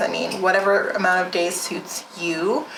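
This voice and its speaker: Through noticeable background noise and audible room echo, a woman speaks with fairly even intonation. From rural area. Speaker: wellness vlogger, nonprofit founder. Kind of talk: casual vlog monologue. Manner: casual, filler-heavy.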